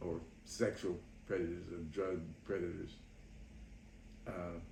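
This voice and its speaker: In a room with audible echo, a man talks at a fairly slow pace in a very deep, low, somewhat breathy voice with a dark, mellow tone and monotone, flat intonation. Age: 80s+. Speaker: mental health educator. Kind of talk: interview answers. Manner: halting.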